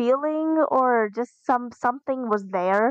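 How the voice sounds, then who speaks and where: A woman speaks at a moderate pace with ordinary pitch variation, in a plain, everyday voice. The sound is dry and close with no echo, over a quiet background. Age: 20s. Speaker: college student with congenital heart disease. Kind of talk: interview testimony.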